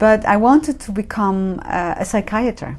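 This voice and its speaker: With a Dutch accent, a woman talks at a moderate pace and medium pitch. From Netherlands. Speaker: professor of religion. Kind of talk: interview. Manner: halting.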